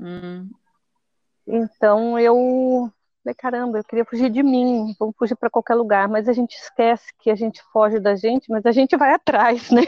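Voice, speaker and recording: A woman's normal speaking voice, fairly high-pitched, at a moderate pace with fairly even intonation. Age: 50s. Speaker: traveler and content creator. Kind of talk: casual interview. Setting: outdoors by a hostel pool.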